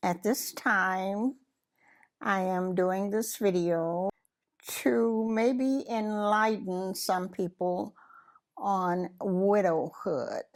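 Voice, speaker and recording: A woman with a Southern US accent speaks very slowly at a medium pitch with ordinary pitch variation, on a very clean recording with a silent background. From US South, Mississippi. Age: 80s+. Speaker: interviewee, widow. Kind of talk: personal testimony. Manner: halting.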